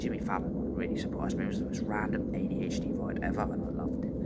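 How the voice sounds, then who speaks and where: Someone whispers at a fairly quick pace, with noticeable background noise and audible room echo. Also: man. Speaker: vlogger. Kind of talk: casual chat. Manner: animated. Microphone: too quiet.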